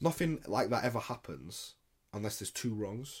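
This man speaks at a moderate pace with a British accent. The recording is very clean, with a silent background. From England, Indian heritage. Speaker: podcast co-host. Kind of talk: casual chat.

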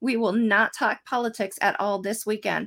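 A woman with an ordinary speaking voice and an American accent, fairly high in pitch, with ordinary pitch variation at a moderate pace. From central Pennsylvania. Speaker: political candidate. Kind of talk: panel Q&A. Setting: video call.

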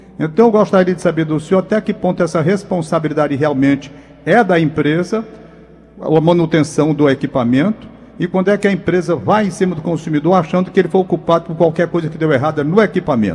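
A man talks at a very fast pace and a high pitch, with ordinary pitch variation. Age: 70s. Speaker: radio co-host. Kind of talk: radio interview.

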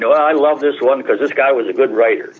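Noticeable background noise runs under a man speaking with an American accent. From upstate New York, US. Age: 80s+. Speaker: historian. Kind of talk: radio interview.

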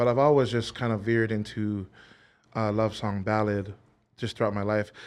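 With a Hawaiian accent, the speaker uses monotone, flat intonation on a very clean recording with a silent background. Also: man. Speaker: singer. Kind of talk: casual chat. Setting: studio. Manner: hesitant, lots of fillers.

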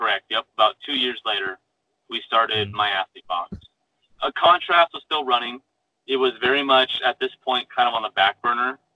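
A man with an ordinary speaking voice and an American accent, at a medium pitch and a moderate pace, with ordinary pitch variation. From Arizona. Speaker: engineer and startup founder. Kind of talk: interview.

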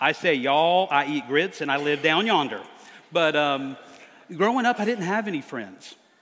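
Speaking at a moderate pace in an American accent, a man uses a fairly high pitch and lively intonation. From US South, near Charleston, South Carolina. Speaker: preacher. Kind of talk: sermon.

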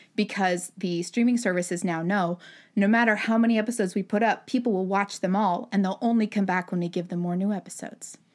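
In a very clean recording with a silent background, a woman speaks very fast at a medium pitch with fairly even intonation. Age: 30s. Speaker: animation story artist and director. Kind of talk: casual chat.

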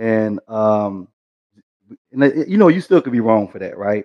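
Speaking at a fairly quick pace, this is a plain, everyday voice with an American accent. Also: man. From East Texas. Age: 40s. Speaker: program manager, military veteran. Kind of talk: casual panel discussion. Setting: video call.

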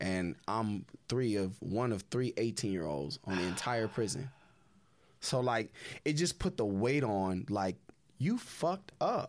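A man with an American accent speaks at a fairly slow pace and fairly low pitch, his pitch swinging very widely while his loudness stays very even, in a very clean recording with a silent background. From Southern California. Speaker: former prisoner and ex-bank robber. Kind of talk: casual interview. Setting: studio.

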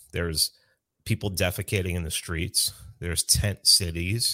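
On a very clean recording with a silent background, a man with a New York accent speaks in a bright, sharp tone. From New York City (South Bronx). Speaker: libertarian activist. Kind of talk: casual chat.

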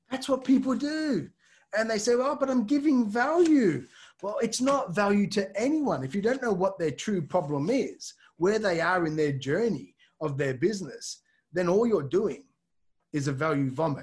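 Speaking at a moderate pace in an Australian accent, a man's high voice swings very widely in pitch. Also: quiet background. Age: 40s. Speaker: LinkedIn consultant. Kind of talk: interview.

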